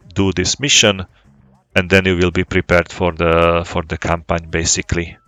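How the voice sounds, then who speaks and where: Someone with a non-native accent speaks in a monotone, flat way at a moderate pace. Music plays in the background. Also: man. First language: not English. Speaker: flight sim gaming YouTuber. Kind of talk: casual gameplay commentary. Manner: halting, many fillers and repetitions.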